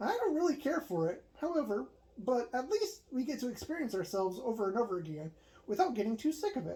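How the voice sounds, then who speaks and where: A man does a put-on character voice at an extremely high pitch, racing along very fast with very wide pitch swings. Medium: read story. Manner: vague, musing.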